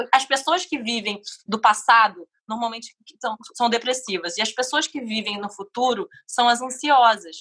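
Fairly high in pitch, a woman talks in a bright, sharp tone. Her pace is fairly slow, with ordinary pitch variation. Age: 20s. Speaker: podcast guest. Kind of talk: casual interview chat.

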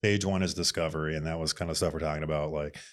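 A man talks with an Upper Midwest accent in a very clean recording with a silent background. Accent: Upper Midwest American. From Minnesota, Bloomington. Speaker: design studio owner. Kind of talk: casual interview chat.

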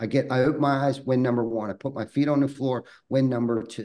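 Speaking at a medium pitch with fairly even intonation, a man uses a normal speaking voice. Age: 40s. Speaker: roofing company owner. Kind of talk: podcast interview.

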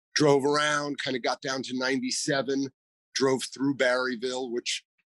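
A man with an American accent and a normal speaking voice talks at a fairly slow pace and medium pitch, in a dry, close sound with no echo. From New York City (Manhattan). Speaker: store owner. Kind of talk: interview.

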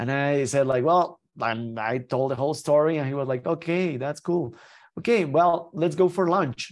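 Speaking at a moderate pace, a man uses a fairly high pitch with ordinary variation. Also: quiet background. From Mexico. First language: Spanish. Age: 30s. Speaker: Paralympic skier. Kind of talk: interview. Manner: halting with many repetitions.

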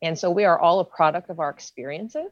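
Fairly even intonation marks a plain, everyday voice with an American accent. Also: woman. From western Pennsylvania (Beaver County, near Pittsburgh). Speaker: diversity trainer. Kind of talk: casual discussion.

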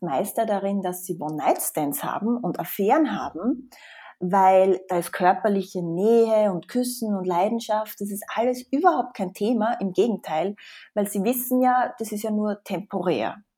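Recorded very cleanly against a silent background, a woman at a medium pitch speaks at a moderate pace with ordinary pitch variation. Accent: slight Austrian. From Austria. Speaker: psychologist. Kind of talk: interview.

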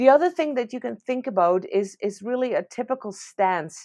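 A woman in a Dutch accent with a dark, mellow tone and lively intonation, moderate pace, dry, close sound with no echo and a quiet background. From Netherlands. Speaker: veterinary professor. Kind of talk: interview.

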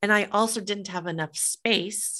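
With a bright, sharp tone, a woman speaks at a fairly slow pace and fairly even intonation against a quiet background. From US Midwest, Des Moines, Iowa. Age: 50s. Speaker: author and business founder. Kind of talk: interview.

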